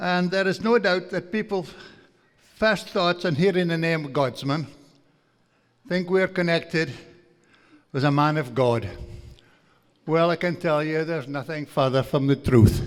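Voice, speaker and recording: Delivery is at a fairly slow pace, broken by long, frequent pauses. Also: man, high pitch for a man, ordinary pitch variation. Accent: strong Aberdeenshire. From northeast Scotland, Aberdeenshire. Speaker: farmer and guest speaker. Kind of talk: after-dinner lecture. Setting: banquet hall with audience.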